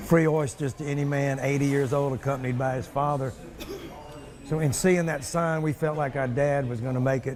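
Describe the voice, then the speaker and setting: With a Southern US accent, the speaker talks at a moderate pace and a fairly even intonation amid noticeable background noise. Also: man. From US South. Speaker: interviewee. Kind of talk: interview.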